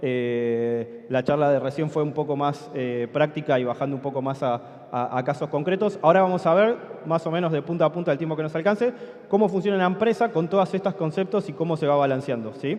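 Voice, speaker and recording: A man's fairly high voice in an Argentine accent, fairly quick and lively in intonation, with noticeable background noise. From Argentina. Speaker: conference speaker, software company co-founder. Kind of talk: conference talk. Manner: conversational, many fillers and 'sí?' checks.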